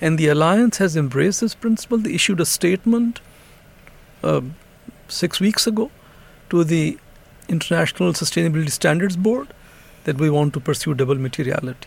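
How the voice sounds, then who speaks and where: A high-pitched man with lively intonation and long, frequent pauses. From Pakistan. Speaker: senior UN economic official. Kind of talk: interview.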